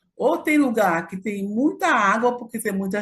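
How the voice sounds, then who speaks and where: Intonation is lively and somewhat breathy. The pace is moderate. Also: woman. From Brazil, Acre (Amazon). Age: 70s. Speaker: activist and historian. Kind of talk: interview. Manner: halting, with many fillers.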